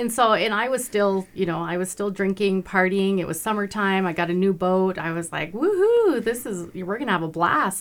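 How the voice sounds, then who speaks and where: A woman's medium-pitched, normal speaking voice with an American accent, at a moderate pace with ordinary pitch variation and hardly any pauses. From Montana, Browning. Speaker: non-profit founder, business owner. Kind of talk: radio interview.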